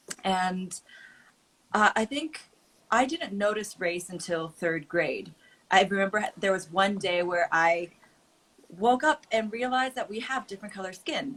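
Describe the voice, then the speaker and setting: At a fairly slow pace, a woman with a Californian accent speaks with lively intonation. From California, Oakland. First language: Mandarin. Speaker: creator and advocate. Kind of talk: casual chat.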